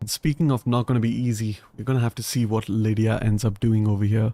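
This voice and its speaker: A man talks at a fairly quick pace and medium pitch with an Indian accent. His intonation is fairly even, and the sound is dry and close with no echo. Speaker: gaming streamer. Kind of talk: live gameplay commentary. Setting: live stream. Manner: casual, conversational.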